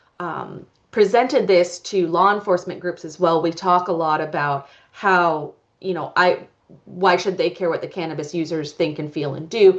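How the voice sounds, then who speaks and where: An unremarkable speaking voice from a woman at a fairly low pitch and moderate pace, with fairly even intonation, big swings in loudness and a quiet background. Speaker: public health researcher. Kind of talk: conference presentation. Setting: conference talk with audience.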